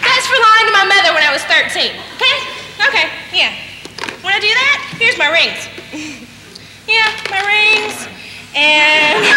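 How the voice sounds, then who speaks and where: A woman speaks in a raised, projected voice at a moderate pace, with long, frequent pauses. Audible room echo and light background noise surround her. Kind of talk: comic theatrical monologue. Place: stage. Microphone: camera far.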